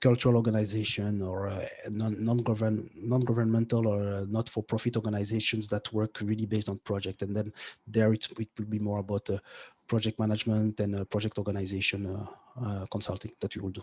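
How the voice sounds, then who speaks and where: On a very clean recording with a silent background, a man with a French accent talks very fast at a fairly low pitch in monotone, flat intonation. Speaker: tech entrepreneur and podcaster. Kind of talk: interview. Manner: halting, many fillers and restarts.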